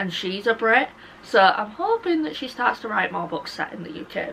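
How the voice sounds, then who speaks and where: Noticeable background noise runs through the clip. A woman speaks at a fairly quick pace. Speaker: book YouTuber. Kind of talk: casual chat. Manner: animated.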